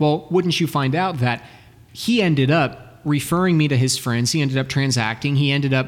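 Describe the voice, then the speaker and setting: In a plain, everyday voice, a man speaks with an American accent at a fairly high pitch. His pace is moderate, his loudness very even, and his pitch variation ordinary. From Texas, Dallas. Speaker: sales and business coach. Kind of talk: interview.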